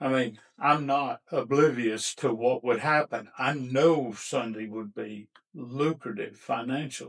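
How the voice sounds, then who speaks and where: A man's medium-pitched, fairly slow delivery with fairly even intonation, hardly any pauses and a normal speaking voice. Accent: American. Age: 60s. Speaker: barbecue restaurant owner. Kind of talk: podcast interview.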